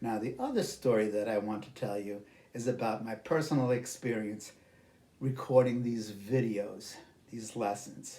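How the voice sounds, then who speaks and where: With a New York accent, a man speaks at a medium pitch in a dark, mellow tone, his fairly even intonation paired with big swings in loudness and audible room echo. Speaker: English teacher. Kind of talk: lesson. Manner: slow, careful enunciation.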